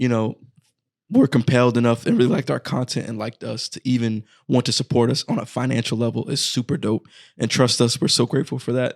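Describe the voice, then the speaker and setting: A man at medium pitch talking very fast with vocal fry and fairly even intonation, dry and close with no echo, on a very clean recording with a silent background. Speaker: horror film podcast co-host. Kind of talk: casual chat. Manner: casual.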